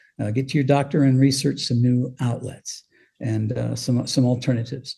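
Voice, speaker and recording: This man has a General American accent, a dark, mellow tone and a somewhat breathy sound, speaking at a moderate pace with fairly even intonation. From Colorado. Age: 70s. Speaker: former radio DJ and author. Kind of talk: interview.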